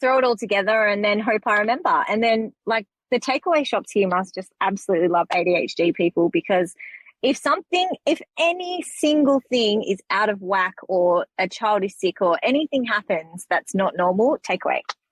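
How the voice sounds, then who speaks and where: A woman's fairly high voice with an Australian accent, very wide pitch swings, very even loudness, a moderate pace and a dry, close sound with no echo. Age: 30s. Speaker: podcast guest, mother with ADHD. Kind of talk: casual chat.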